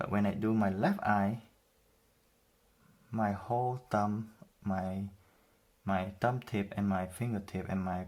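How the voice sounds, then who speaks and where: A fairly slow delivery with fairly even intonation and a strong non-native accent. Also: man. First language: not English. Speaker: self-taught artist, drawing tutor. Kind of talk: tutorial. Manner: casual, conversational with fillers.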